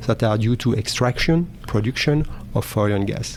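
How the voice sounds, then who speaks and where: With a French accent, a man speaks at a medium pitch and moderate pace over noticeable background noise. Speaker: oil and gas technology manager. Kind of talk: interview. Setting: live event recording. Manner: halting.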